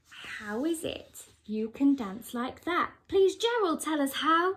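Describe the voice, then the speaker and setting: A woman uses a put-on character voice pitched high. She speaks at a fairly slow pace. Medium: read story.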